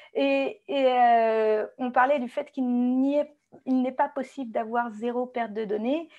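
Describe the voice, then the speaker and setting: Over a quiet background, a woman with a high-pitched yet dark, mellow tone talks very slowly with fairly even intonation. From France. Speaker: database consultant. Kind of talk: webinar presentation. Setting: online webinar. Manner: hesitant, frequent fillers.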